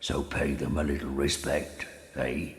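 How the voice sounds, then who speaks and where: Someone is doing a put-on character voice. The pace is moderate. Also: man. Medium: video game. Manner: hearty, folksy.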